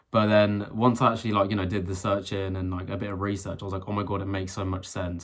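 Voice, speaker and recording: With a British accent, a man speaks very fast in a very deep, low, flat monotone, hardly pausing, on a very clean recording with a silent background. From UK. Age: 20s. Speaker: vlogger. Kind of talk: personal rant vlog. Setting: filmed alone to camera. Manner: halting, many fillers and restarts.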